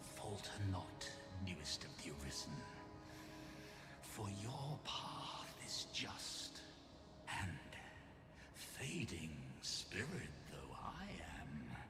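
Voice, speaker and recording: Amid loud background noise and a clear echo, a man uses a put-on character voice at a fairly low pitch and a very slow pace. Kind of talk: archaic, grandiloquent speech. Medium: machinima. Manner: solemn, weighty.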